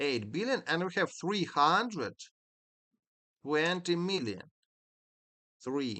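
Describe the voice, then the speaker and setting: A man with a high pitch and a bright, sharp tone speaks at a very slow pace. His pitch swings very widely, and he takes long, frequent pauses. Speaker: game developer streamer. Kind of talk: live stream puzzle solving. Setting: live stream. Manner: halting, many fillers.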